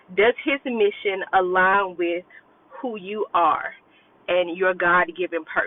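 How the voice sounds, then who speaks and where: A woman's medium-pitched voice at a very slow pace, with ordinary pitch variation and noticeable background noise. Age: 30s. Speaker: self-love coach. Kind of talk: casual vlog monologue. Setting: in a car. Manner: conversational with fillers.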